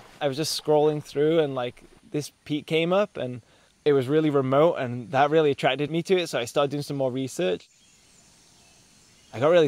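A man's very fast speech with ordinary pitch variation, dry with no echo. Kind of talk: interview answer. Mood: cheerful, laughing. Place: forest. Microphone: lapel.

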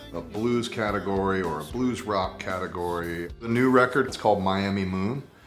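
Over clear music in the background, a man talks with hardly any pauses, using a fairly low pitch and ordinary pitch variation. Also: moderate pace. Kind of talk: interview answer. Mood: relaxed, reflective. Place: home room.

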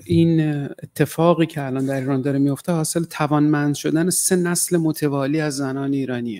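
This man has a dark, mellow tone and a fairly high pitch. He speaks at a fairly slow pace with fairly even intonation. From northern Iran, Caspian region; Iran. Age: 40s. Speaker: writer. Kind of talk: talk. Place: hall. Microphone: podium.

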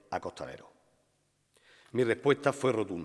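Lively intonation in an Andalusian accent, over a quiet background. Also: man. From Linares, Andalusia, Spain; Andalusia, Spain. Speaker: devotional poet orator giving the festival proclamation. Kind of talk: solemn poetic proclamation, rhymed devotional verse delivered as oratory. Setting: stage with audience. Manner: rhetorical, fervent, rhythmic with lyrical cadence; emotional, reverent. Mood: solemn, devotional, emotive. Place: stage. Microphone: podium.

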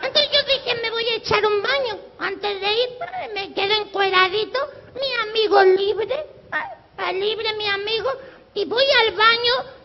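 A man's put-on character voice, playful in tone and extremely high in pitch, at a moderate pace with long, frequent pauses. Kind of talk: live comic clown routine. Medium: stage play. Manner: playful, crude; mock-sweet, then suddenly brash.

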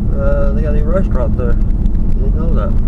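With loud background noise behind it, the sound stays dry with no echo. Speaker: driver vlogger. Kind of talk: casual vlog chat. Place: car. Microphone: camera far.

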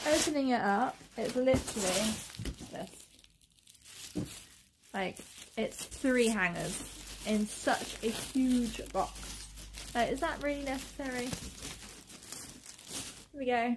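Amid noticeable background noise, a woman with a high voice and an upbeat tone speaks very slowly, with ordinary pitch variation and long, frequent pauses. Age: 20s. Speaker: governess, former teacher; vlogger. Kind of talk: casual talk to camera. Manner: chatty, upbeat. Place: home room. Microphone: phone near.

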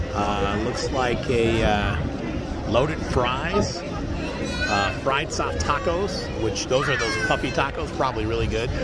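A man at a very slow pace, with crowd noise behind him. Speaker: vlogger filming event. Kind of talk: casual vlog chat. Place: street. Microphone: phone near.

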